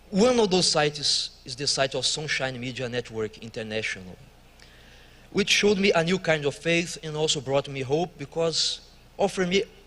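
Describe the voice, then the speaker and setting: With a Brazilian accent, a man talks at a moderate pace, his fairly high voice carried by lively intonation. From Brazil, Rio de Janeiro. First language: Portuguese. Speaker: church worker. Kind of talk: testimony.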